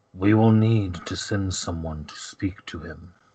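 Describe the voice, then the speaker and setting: A man's put-on character voice, very deep and low, at a fairly slow pace. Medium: actual play. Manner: formal, haughty.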